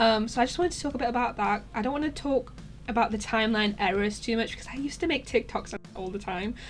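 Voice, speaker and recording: A woman talks at a very fast pace with a fairly high pitch, ordinary pitch variation and vocal fry. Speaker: YouTuber. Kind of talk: casual chat. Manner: hesitant, many fillers.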